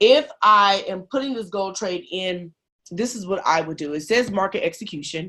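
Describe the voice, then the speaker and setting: A woman with an unremarkable speaking voice talks at a medium pitch with ordinary pitch variation and big swings in loudness against a quiet background. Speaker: trading team leader. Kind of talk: tutorial.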